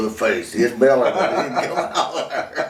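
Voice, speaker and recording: Over noticeable background noise, the speaker talks at a fairly quick pace with an Appalachian accent. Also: man. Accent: rural Southern US, Appalachian. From North Carolina, USA. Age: old. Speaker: retired farm-raised man, father of the channel owner's husband. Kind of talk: interview answer, storytelling about childhood. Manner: casual, folksy, humorous.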